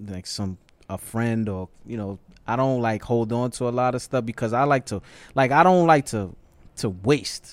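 A man with a plain, everyday voice and an American accent, at medium pitch and a moderate pace, on a very clean recording with a silent background. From New York City, the Bronx. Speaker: hip-hop artist manager. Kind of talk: casual chat. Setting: studio.

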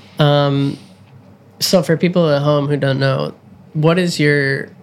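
Speaking fairly slowly with fairly even intonation, a man with a fairly high pitch comes through noticeable background noise. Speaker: podcast host and program coordinator. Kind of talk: casual interview chat.

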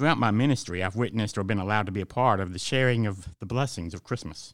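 Very fast pace from a man with a Southern US accent, fairly low in pitch, with ordinary pitch variation on a very clean recording with a silent background. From Georgia, US South. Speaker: pastor. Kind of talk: devotional reading.

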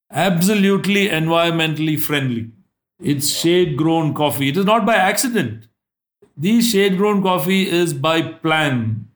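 A high-pitched man's voice at a fairly slow pace, lively in intonation and very even in loudness. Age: 70s. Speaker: plantation managing director. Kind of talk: interview.

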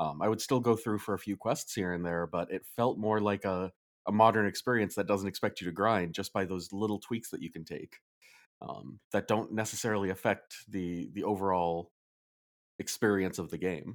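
On a very clean recording with a silent background, a plain, everyday voice speaks at a moderate pace with fairly even intonation. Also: man, fairly low pitch for a man. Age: 30s. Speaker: game reviewer, podcast co-host. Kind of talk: casual chat.

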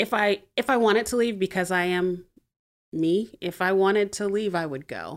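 Her pitch medium, a woman talks with an American accent. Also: ordinary pitch variation, moderate pace. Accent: none noticeable. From Montgomery, Alabama, US South. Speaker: church member. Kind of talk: casual chat.

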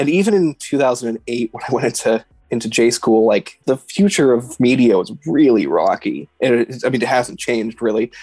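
A man's normal speaking voice at medium pitch, with a Canadian accent, ordinary pitch variation, and dry, close sound with no echo. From Canada, Edmonton. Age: 30s. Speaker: photojournalist. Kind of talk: casual chat.

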